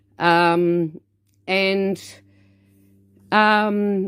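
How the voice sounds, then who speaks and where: In a New Zealand accent, a woman speaks at a medium pitch. The recording is very clean with a silent background and a dry, close sound with no echo. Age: 50s. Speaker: dance studio owner. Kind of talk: personal introduction to camera. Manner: loud.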